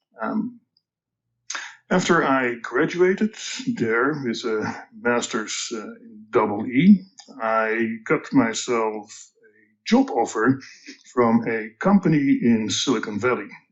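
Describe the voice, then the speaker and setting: Someone with a Dutch accent speaks at a very slow pace, with lively intonation and big swings in loudness. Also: man, medium pitch for a man. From Netherlands, Amsterdam. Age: 60s. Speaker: tech company executive. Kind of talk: podcast interview. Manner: halting, many fillers.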